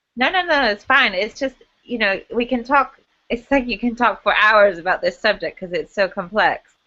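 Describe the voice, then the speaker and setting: A woman speaks with an American accent. Her pace is moderate and her pitch varies in an ordinary way. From California. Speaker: choreographer. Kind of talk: casual chat.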